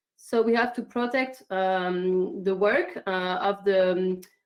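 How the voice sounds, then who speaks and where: Lively intonation runs through this woman's speech, delivered in a French accent. Her pitch is medium. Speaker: climate activist. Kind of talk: online conference statement. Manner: halting, many fillers.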